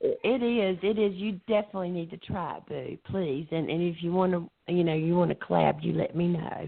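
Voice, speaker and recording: With a Southern US accent, a woman talks at a moderate pace and hardly pauses. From US South. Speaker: poet. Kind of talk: casual chat. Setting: phone call.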